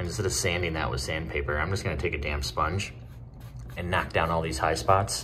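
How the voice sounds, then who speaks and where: Very deep, low-pitched male voice at a fairly quick pace, with ordinary pitch variation and light background noise. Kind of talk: casual vlog tutorial. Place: home room. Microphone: phone near.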